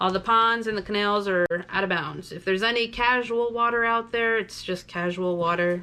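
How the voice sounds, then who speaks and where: A loud woman's voice, bright and sharp in tone, with ordinary pitch variation against a quiet background. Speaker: tournament director. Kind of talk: player's meeting briefing. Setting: virtual player's meeting video.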